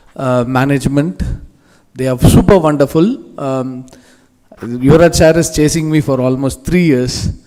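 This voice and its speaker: A man's dark, mellow tone in a Telugu accent at a moderate pace. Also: fairly high pitch for a man, ordinary pitch variation. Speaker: industry guest speaker. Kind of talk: motivational speech. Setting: stage with audience. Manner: animated.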